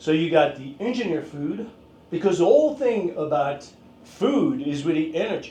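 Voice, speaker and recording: A man's moderately paced speech with ordinary pitch variation and audible room echo. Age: 60s. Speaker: fitness and martial arts instructor. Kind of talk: casual talk to camera. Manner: halting, many fillers.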